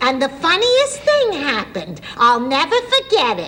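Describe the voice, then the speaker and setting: A woman puts on a character voice with an extremely high pitch and very wide pitch swings. She speaks at a moderate pace over clear background noise. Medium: short film. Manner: sweet, earnest.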